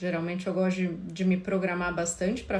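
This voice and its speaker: A soft-spoken woman talks in a somewhat breathy voice. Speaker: couples therapist. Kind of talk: live stream talk. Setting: Instagram live. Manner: casual.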